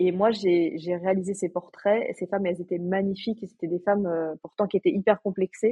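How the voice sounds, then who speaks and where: The woman's voice is somewhat breathy, with ordinary pitch variation. She keeps a moderate pace. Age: 40s. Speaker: portrait photographer and podcaster. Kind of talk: interview conversation.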